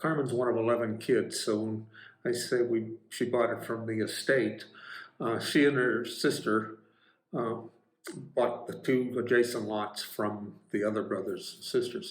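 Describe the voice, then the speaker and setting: With audible room echo, a man speaks at a medium pitch and a fairly slow pace, his intonation fairly even. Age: 70s. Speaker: retiree vlogger. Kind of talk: casual home-tour vlog. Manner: halting, many fillers.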